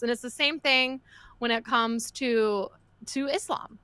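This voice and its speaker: Raising and projecting her voice, a woman with an American accent speaks in a bright, sharp tone at a moderate pace. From Texas. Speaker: podcast co-host. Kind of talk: casual chat. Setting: live stream.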